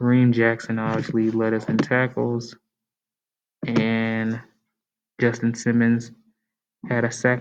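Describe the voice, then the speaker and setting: A man talks quietly. His pitch sits in the medium range. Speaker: sports YouTuber. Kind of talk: casual sports commentary. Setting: library. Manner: quiet, low volume.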